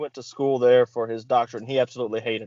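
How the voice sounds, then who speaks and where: A man talks at a very fast pace in a Louisiana accent. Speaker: wrestling interviewer. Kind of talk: casual interview.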